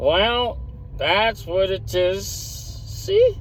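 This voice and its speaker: Over clear background noise, a man mumbles in a put-on character voice. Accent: rural English. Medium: read story. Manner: slurred, mumbling, sly.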